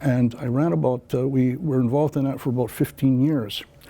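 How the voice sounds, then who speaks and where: At a fairly quick pace, a man with an American accent speaks at medium pitch with ordinary pitch variation. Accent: Canadian English, Mohawk community. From Akwesasne Mohawk territory, Canada-US border. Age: 60s. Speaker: political candidate. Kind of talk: interview. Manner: hesitant, many filler words.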